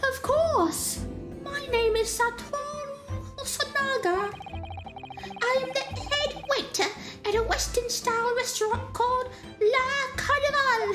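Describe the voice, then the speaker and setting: Over clear music in the background, a woman uses a put-on character voice, talking at a fairly slow pace with long, frequent pauses. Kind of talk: butler voice. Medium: game stream.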